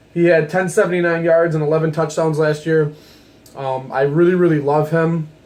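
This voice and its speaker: Over noticeable background noise, a man talks in a fairly high pitch with monotone, flat intonation. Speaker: sports video creator. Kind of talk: casual sports commentary monologue. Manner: fast.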